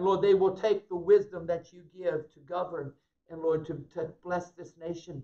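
Against a quiet background, a man with a high pitch speaks in a monotone, flat intonation at a moderate pace. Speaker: pastor. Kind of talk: prayer then sermon. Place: church. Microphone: camera far.

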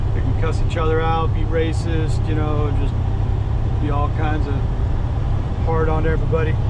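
The speech moves at a fairly slow pace against loud background noise. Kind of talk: casual vlog chat. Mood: wry, annoyed at traffic. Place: car.

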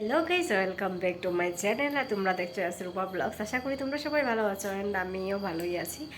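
With audible room echo and noticeable background noise, a woman at a medium pitch speaks with lively intonation. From Tripura, Kumarghat. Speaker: vlogger. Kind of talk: travel vlog narration. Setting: outdoors at a crowded fair.

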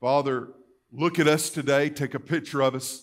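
With fairly even intonation, a man speaks at a medium pitch.

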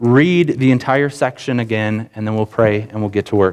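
A man at a moderate pace with fairly even intonation against a quiet background. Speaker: preacher. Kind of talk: sermon. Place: church.

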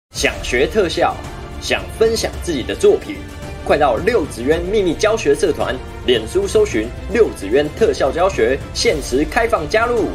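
Clear music plays behind a man who talks at a fairly slow pace. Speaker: effects tutorial host. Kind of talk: tutorial.

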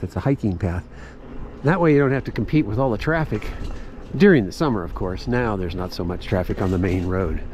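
Light background noise can be heard as a man speaks. His voice is dry, with no echo. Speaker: ride narrator. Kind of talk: casual ride-along commentary. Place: bicycle.

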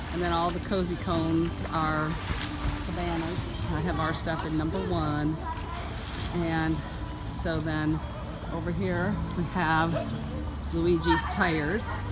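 Loud music plays behind a very slow voice that leaves long, frequent pauses. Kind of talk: casual vlog chat. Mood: cheerful. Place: street. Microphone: phone near.

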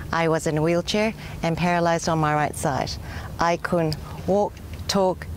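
Over light background noise, a woman with a fairly low pitch speaks in a monotone, flat way with long, frequent pauses, and the sound is dry with no echo. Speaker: stroke survivor. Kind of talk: casual talk to camera. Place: waterside.

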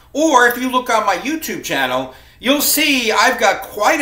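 A man's raised, projected voice at a moderate pace, with audible room echo. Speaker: college instructor. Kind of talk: class welcome talk to students. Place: home room. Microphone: webcam.

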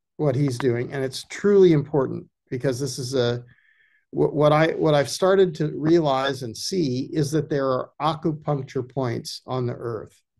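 A somewhat breathy man at a fairly slow pace with ordinary pitch variation, over a quiet background. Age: 70s. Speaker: ecology filmmaker and former journalist. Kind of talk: casual chat. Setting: video call. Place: home room. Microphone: video call.

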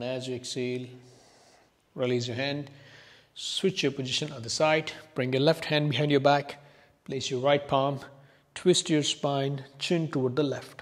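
A man talks at a fairly high pitch with fairly even intonation. He leaves long, frequent pauses. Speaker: yoga instructor. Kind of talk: guided yoga class, calm step-by-step cueing. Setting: video class on a yoga mat. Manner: calm, soft-spoken, slow and soothing; instructive, paced to breaths with pauses.

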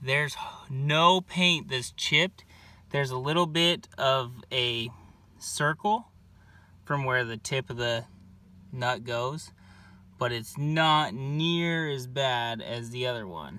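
A man with a bright, sharp tone at a very slow pace, with long, frequent pauses and a dry sound with no echo. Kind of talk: casual tutorial narration. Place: street. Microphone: phone near.

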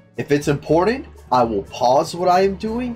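A man's voice comes with faint music in the background. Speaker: streamer reacting to a story. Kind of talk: casual commentary.

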